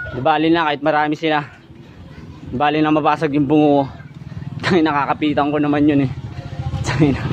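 Delivered at a very fast pace with monotone, flat intonation, the speech has music in the background and a dry sound with no echo. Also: man. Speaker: vlogger. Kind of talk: casual vlog chat, agitated. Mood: angry, aggressive, swearing. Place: street. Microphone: phone near.

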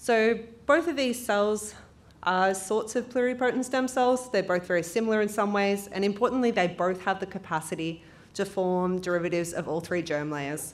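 A woman talks at a moderate pace with lively intonation. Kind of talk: lecture. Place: hall. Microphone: podium.

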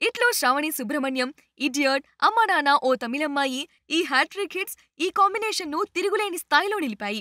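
A woman talks fairly quickly at a high pitch with lively intonation and a bright, sharp tone. The recording is very clean, with a silent background and a dry, close sound with no echo.

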